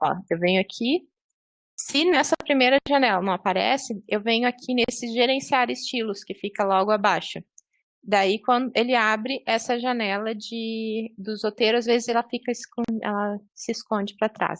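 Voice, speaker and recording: An ordinary speaking voice from a woman, fairly high in pitch with ordinary pitch variation and a moderate pace, dry and close with no echo over a quiet background. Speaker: librarian trainer. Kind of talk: online training tutorial. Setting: video call.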